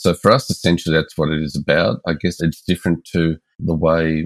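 Recorded with a dry, close sound and no echo, a man with an Australian accent speaks at a very deep, low pitch. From Melbourne, Australia. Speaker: engagement expert and consultant. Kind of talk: interview conversation.

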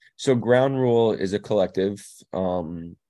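The voice carries a New York accent and a dark, mellow tone. The background is quiet. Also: man. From New York (Staten Island), later New Jersey. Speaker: DJ and producer. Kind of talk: casual interview. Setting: recorded remotely, in the Netherlands.

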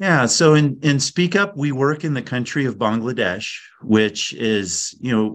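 Against a quiet background, a man with a plain, everyday voice talks at a moderate pace. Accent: American. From California. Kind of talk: interview.

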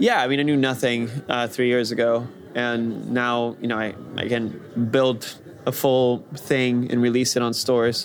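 Against music in the background, a man speaks at a fairly slow pace in a medium-pitched voice with monotone, flat intonation. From Brazil, Rio de Janeiro. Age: young. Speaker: VR developer. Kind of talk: interview.

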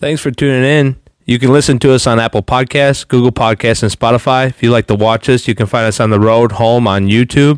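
A man talks fairly quickly in an ordinary speaking voice, medium in pitch, with hardly any pauses, very even loudness and fairly even intonation. The sound is dry and close with no echo, on a very clean recording with a silent background. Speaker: podcast co-host. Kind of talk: casual Bible-study podcast chat. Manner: earnest, conversational.

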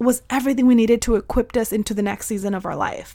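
A woman with a fairly high pitch talks in an animated tone, using ordinary pitch variation. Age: 30s. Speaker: podcast host and soul mentor. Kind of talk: pep talk. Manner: warm and emphatic.

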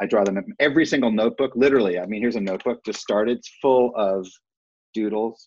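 Here a man has an ordinary speaking voice with an American accent. His pitch is fairly low, with ordinary pitch variation. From US Midwest, Cleveland Heights, Ohio. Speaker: artist and improv business trainer. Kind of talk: casual interview chat.

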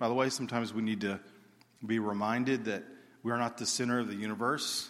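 A man speaks with an Alabama accent. Room echo can be heard. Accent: Southern US (Alabama). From US South (Alabama). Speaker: missionary. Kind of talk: sermon. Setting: church stage with congregation.

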